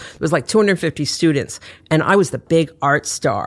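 A woman's very deep, low-pitched voice with lively intonation at a moderate pace, on a very clean recording with a silent background. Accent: American. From New York City. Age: 60s. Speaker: author and designer. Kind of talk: casual interview chat.

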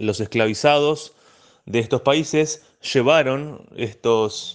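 A man, heard against a quiet background, shows ordinary pitch variation. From La Plata, Argentina. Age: 20s. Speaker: banjo teacher. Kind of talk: interview. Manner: hesitant.

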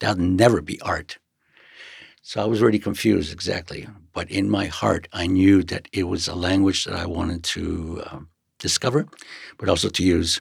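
A man with an American accent speaks in a very deep, low, somewhat breathy voice at a moderate pace. The recording is very clean, with a silent background. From East Los Angeles. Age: 70s. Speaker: graffiti artist. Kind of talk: interview.

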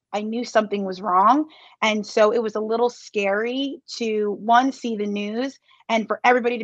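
Speaking at a fairly quick pace, a woman with an American accent uses an ordinary speaking voice, fairly high in pitch and fairly even in intonation. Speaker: Olympic athlete. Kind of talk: interview.

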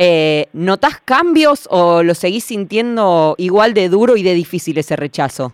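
Recorded very clean with a silent background and a dry, close sound with no echo, a woman with an unremarkable speaking voice speaks at medium pitch and a fairly slow pace, with lively intonation, very even loudness and hardly any pauses. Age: young. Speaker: radio host. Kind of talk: casual chat.

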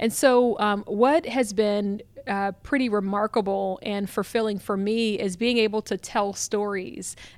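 This woman has an ordinary speaking voice with an American accent. Her pitch is fairly high and her intonation fairly even. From Columbus, Ohio. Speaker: communications director and author. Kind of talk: interview. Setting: conference venue.

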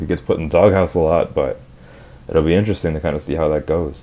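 Very deep, low pitch and fairly level intonation from a man. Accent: Minnesota. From Minnesota. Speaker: podcast co-host. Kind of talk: casual chat. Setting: in a car.

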